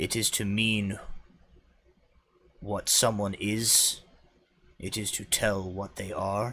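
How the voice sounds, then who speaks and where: A man's raspy, put-on character voice, fairly low in pitch, at a very slow pace with long, frequent pauses. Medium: actual play. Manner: simple, halting grammar, grand.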